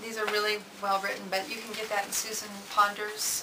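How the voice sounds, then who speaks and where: Speech comes at a fairly quick pace over noticeable background noise, with audible room echo. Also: woman. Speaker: self-help vlogger. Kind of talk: casual monologue. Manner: fast.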